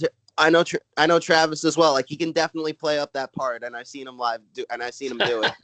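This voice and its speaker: A very fast, fairly high-pitched man with a Brooklyn accent, ordinary pitch variation, big swings in loudness and a dry, close sound with no echo. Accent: Brooklyn New York. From Brooklyn, New York. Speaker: stand-up comedian. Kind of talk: casual chat. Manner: halting, many filler words.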